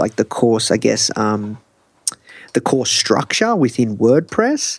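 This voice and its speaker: The sound is dry and close with no echo as a man talks in an Australian accent. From Australia, Melbourne. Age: young. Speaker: entrepreneur. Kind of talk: interview. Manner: animated.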